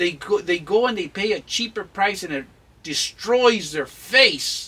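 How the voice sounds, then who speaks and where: A man speaks at a fairly slow pace in a raised, projected voice, high-pitched for a man, with an intense tone and lively intonation. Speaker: channel host, mentor on Chicano culture. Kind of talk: advice-giving interview. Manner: intense, emphatic; halting with fillers.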